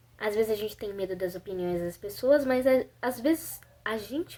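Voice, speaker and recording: A woman speaks at a fairly slow pace. Her tone is dark and mellow, with ordinary pitch variation. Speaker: vlogger. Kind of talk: personal reflection vlog. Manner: halting.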